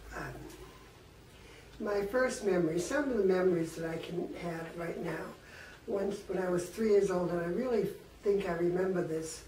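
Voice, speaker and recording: A woman speaks with ordinary pitch variation and long, frequent pauses. There is audible room echo and noticeable background noise. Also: medium pitch for a woman, moderate pace. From Worcester, Massachusetts, US New England. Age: 80s+. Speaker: elderly woman telling her life story. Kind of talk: personal life-history reminiscence. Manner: casual, with hesitations and self-corrections.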